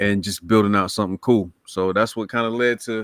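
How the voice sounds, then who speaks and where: In an eastern North Carolina accent, a man speaks at a moderate pace and medium pitch on a very clean recording with a silent background. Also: dry, close sound with no echo. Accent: US Southern (eastern North Carolina). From Lumberton, North Carolina. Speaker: comic book creator. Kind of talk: casual chat.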